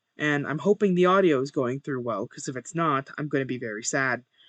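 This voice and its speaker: At a moderate pace, a man speaks with lively intonation and a fairly high pitch. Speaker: gaming streamer. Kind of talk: casual gameplay commentary.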